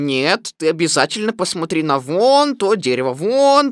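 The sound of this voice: Reading in an unforced voice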